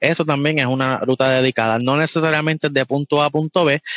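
In a Puerto Rican accent, a man with a fairly high pitch talks at a fairly quick pace, heard dry and close with no echo against a quiet background. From Puerto Rico. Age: young. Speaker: truck driver. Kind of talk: casual interview.

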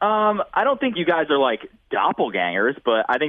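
This is a man speaking. His pace is moderate. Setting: phone call.

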